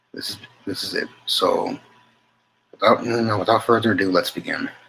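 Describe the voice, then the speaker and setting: A man mumbles his words at a moderate pace. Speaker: channel host reading a text aloud. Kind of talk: casual talk to viewers. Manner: mumbling; halting. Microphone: poor mic, hard to hear.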